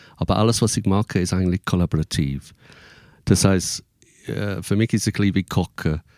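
On a very clean, dry, close recording with no echo and a silent background, a man with a very deep, low voice talks at a fairly quick pace with long, frequent pauses, very even loudness and ordinary pitch variation. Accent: English. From England. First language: English (speaking German). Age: 50s. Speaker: musician and performer. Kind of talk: casual interview.

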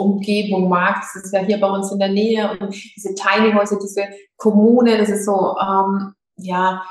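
The woman speaks with monotone, flat intonation at a medium pitch. Her pace is fairly slow. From Lower Franconia, Germany (Schweinfurt). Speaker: yoga teacher. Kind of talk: interview.

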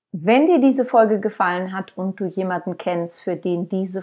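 A woman with a plain, everyday voice at a medium pitch and moderate pace, ordinary pitch variation, and a quiet background. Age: 50s. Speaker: podcast host and author. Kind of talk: podcast monologue.

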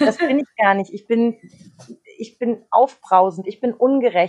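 At a moderate pace, a woman with a fairly high pitch talks in a normal speaking voice, the sound dry and close with no echo. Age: 30s. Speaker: radio host. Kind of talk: casual chat.

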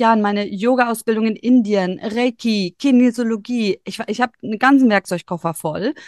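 A woman uses a plain, everyday voice with fairly high pitch, ordinary pitch variation and a fairly quick pace. The background is quiet, and the sound is dry and close, with no echo. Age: 40s. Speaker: human design reader and yoga teacher. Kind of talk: casual interview chat.

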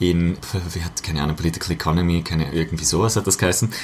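A man rattles along at a very fast pace while noticeable background noise is heard. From Austria, Vorarlberg. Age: 20s. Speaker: politician. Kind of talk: casual chat.

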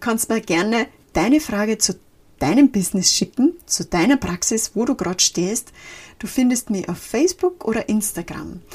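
On a very clean recording with a silent background, a woman's fairly high, somewhat breathy voice moves through very wide pitch swings at a moderate pace. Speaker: podcast host and life and social counsellor. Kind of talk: solo podcast talk. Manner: casual, mixing formal and dialect.

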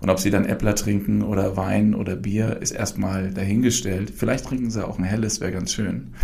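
Moderate pace, ordinary pitch variation and hardly any pauses, with audible room echo and noticeable background noise. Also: man, fairly low pitch for a man. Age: 40s. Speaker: brewery founder and managing director. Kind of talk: casual interview. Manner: many filler sounds.

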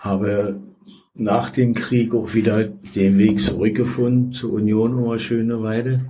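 A man's dark, mellow, somewhat breathy voice of medium pitch with ordinary pitch variation, at a fairly slow pace, with audible room echo. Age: 80s+. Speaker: former football club official. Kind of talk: interview.

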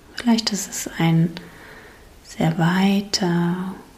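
A soothing, calm tone at a very slow pace over noticeable background noise. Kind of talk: guided meditation. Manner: slow, soothing, gently paced with long pauses; calm, soft-spoken, warmly inviting.

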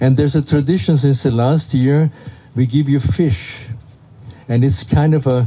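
Medium-pitched male voice amid noticeable background noise. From Austria. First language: German. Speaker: festival director. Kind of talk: welcome speech to audience. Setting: outdoors in rain.

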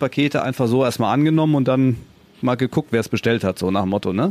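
A man speaks at a medium pitch with a slightly mellow tone.

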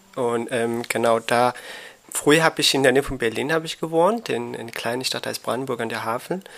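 A man's voice sits at a medium pitch, moving at a fairly quick pace with ordinary pitch variation. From Afghanistan. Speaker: migrant youth counselor. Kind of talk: casual interview. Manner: halting, searching for words.

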